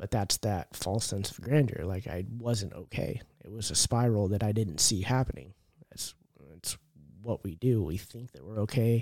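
With an American accent and a plain, everyday voice, a man speaks at a moderate pace and fairly low pitch with ordinary pitch variation, in dry, close sound with no echo on a very clean recording with a silent background. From California. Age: 30s. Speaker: person in addiction recovery. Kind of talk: testimony.

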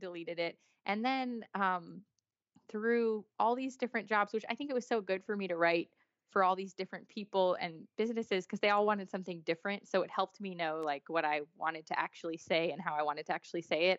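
A woman in an ordinary speaking voice with an American accent talks at medium pitch and a fairly quick pace, with ordinary pitch variation. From US big cities. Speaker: author. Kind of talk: casual chat.

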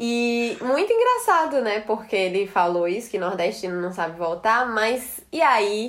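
A woman's fairly high, lively voice at a fairly slow pace with hardly any pauses. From Northeast Brazil, Ceará and Rio Grande do Norte (Natal). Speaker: psychologist. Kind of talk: casual chat.

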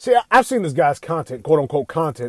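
In a very clean recording with a silent background and a dry, close sound free of echo, a man talks very fast in an animated tone, his fairly high pitch making very wide swings. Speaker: gaming commentator. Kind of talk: opinionated rant. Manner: animated, profane.

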